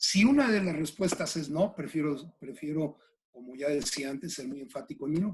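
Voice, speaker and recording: Lively intonation, a fairly high male voice and a moderate speed. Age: 60s. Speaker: executive coach. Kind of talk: interview. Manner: halting, with many fillers.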